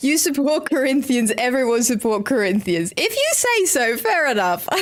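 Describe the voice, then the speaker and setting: A woman speaks in a high pitch with very even loudness. Noticeable background noise runs underneath. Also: lively intonation, moderate pace. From Netherlands, Eindhoven (North Brabant). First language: Dutch. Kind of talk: live stream chat while gaming. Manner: casual, chatty.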